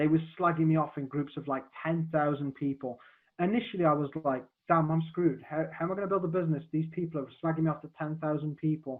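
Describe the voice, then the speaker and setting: Talking at a very fast pace, a man speaks with a fairly high pitch. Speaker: marketing coach. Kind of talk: podcast interview. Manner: animated.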